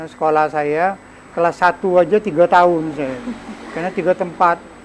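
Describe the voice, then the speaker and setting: There is noticeable background noise as a man talks in a high voice. His intonation stays fairly even while his loudness swings a lot. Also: fairly quick pace. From Sumatra, Indonesia (Lampung, Bengkulu, Jambi). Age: old. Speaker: cultural figure. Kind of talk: interview.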